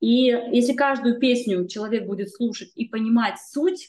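Her pitch fairly high and her pitch variation ordinary, a woman talks in an ordinary speaking voice. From northern Kazakhstan. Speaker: magazine editor and singer. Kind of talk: casual interview chat.

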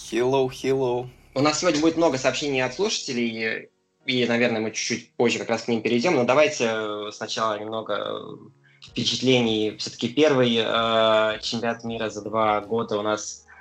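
A man with a medium pitch speaks at a moderate pace with fairly even intonation while music plays in the background. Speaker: podcast host.

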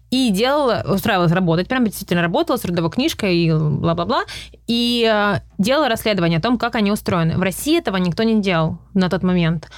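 Very fast and with lively intonation, a woman's medium-pitched voice holds a very even loudness. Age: 30s. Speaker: journalist and YouTuber. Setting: in person, studio in Los Angeles. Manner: halting, hesitant with fillers.

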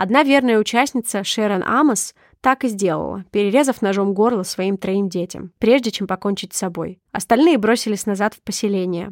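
A woman in a normal speaking voice talks at a fairly quick pace with medium pitch and ordinary pitch variation, on a very clean recording with a silent background and a dry, close sound with no echo. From Sakhalin region, Russian Far East. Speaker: podcast co-host. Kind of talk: scripted narration; casual chat.

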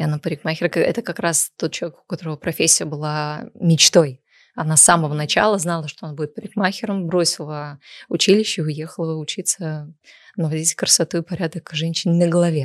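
A woman with an ordinary speaking voice talks fairly quickly in a fairly low pitch with fairly even intonation. The recording is very clean, with a silent background and a dry, close sound with no echo. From Sochi, southern Russia. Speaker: cosmetologist and blogger. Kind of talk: casual chat.

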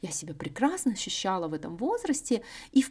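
A woman with a fairly high pitch and a dark, mellow tone talks at a moderate pace, using very wide pitch swings and vocal fry. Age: 30s. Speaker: podcast host. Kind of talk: solo monologue podcast.

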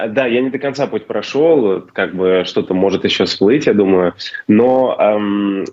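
The man's voice is fairly low-pitched, with pitch that moves in a typical way. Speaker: race organizer. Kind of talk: casual interview. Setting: video call from Slovenia. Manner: hesitant, filler words.

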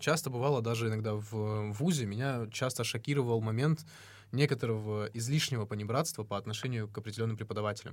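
This man talks at a very fast pace. His recording is very clean, with a silent background. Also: medium pitch for a man, ordinary pitch variation. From North Ossetia, Russia. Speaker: podcast host. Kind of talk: casual conversational podcast discussion.

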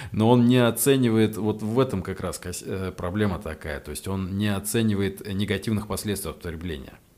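This man has an unremarkable speaking voice, fairly low in pitch with ordinary pitch variation. He talks at a moderate pace, and his volume rises and falls sharply. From Russia, Ryazan. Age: 30s. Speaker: psychotherapist and addiction doctor. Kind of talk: casual interview chat. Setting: studio.

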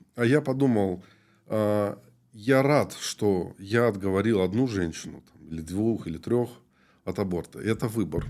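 In a very clean recording with a silent background, a man speaks at a fairly slow pace in a fairly low pitch, with ordinary pitch variation, big swings in loudness, and long, frequent pauses. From Moldova. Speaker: pastor. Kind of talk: interview.

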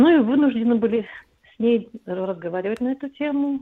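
A woman's fairly high pitch with ordinary pitch variation, in an ordinary speaking voice. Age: 50s. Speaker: caller. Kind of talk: phone-in call.

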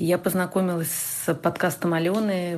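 Noticeable background noise sits behind a woman who speaks at a fairly quick pace with a fairly low pitch. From Russia. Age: 30s. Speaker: lecturer and researcher, listener. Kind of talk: recorded listener testimonial.

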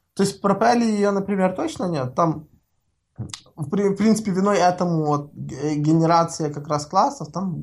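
Her voice carries a somewhat breathy quality. The woman delivers her words at a fairly slow pace. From Ukraine. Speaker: software developer, framework author. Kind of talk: casual interview. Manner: halting, many fillers and repetitions; long-winded talker.

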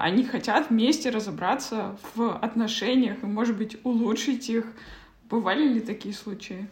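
With noticeable background noise and audible room echo, a woman with a fairly high pitch talks at a moderate pace and with ordinary pitch variation. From Kazakhstan. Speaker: podcast host. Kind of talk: interview. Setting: video call.

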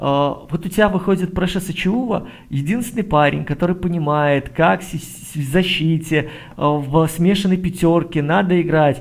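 A man's high-pitched voice with ordinary pitch variation, at a moderate pace. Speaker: basketball podcast co-host. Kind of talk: casual basketball analysis chat.

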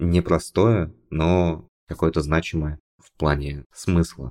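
The voice shows ordinary pitch variation. Its sound is dry and close, with no echo. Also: man. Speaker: podcast co-host, frontend developer. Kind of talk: casual chat. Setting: studio. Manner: informal, joking.

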